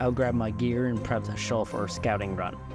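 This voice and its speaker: A man talking at a fairly quick clip with lively intonation, music playing in the background. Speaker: hobbyist story narrator. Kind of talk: read story narration. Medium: read story.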